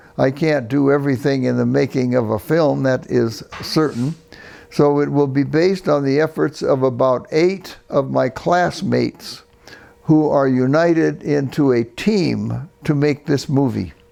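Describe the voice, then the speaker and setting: A man's fairly high voice at a fairly slow pace, with ordinary pitch variation, very even loudness and noticeable background noise. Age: 90s. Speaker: retired psychology professor. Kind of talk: interview. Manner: halting.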